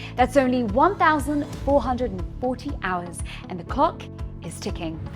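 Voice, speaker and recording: A woman talks at a moderate speed while music plays behind her. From Philippines. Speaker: TV presenter, journalist and voiceover artist. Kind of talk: interviewing and presenting segments.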